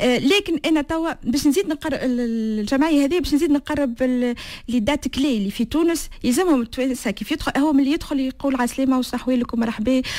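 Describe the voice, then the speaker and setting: A woman's high-pitched voice at a fairly quick pace, ordinary in pitch variation, with hardly any pauses. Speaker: association founder. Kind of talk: interview. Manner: halting.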